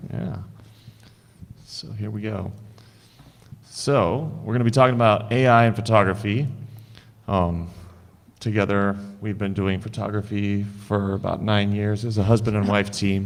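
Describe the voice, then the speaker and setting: Audible room echo surrounds a speaker with an American accent and fairly even intonation. The pace is moderate, broken by long, frequent pauses. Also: man, fairly low pitch for a man. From Idaho, US. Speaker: digital artist and photographer. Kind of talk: conference presentation. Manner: casual.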